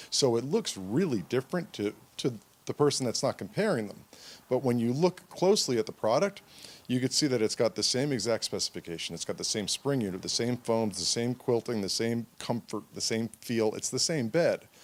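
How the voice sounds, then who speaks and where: A man speaks at a fairly quick pace in a normal speaking voice, with a medium pitch and lively intonation. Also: dry, close sound with no echo. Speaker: mattress store owner. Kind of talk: interview answer.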